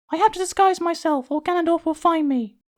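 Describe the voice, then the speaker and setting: A squeaky, female-sounding voice is used as a put-on character voice. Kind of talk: comic parody dub. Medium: machinima. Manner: quick, breezy.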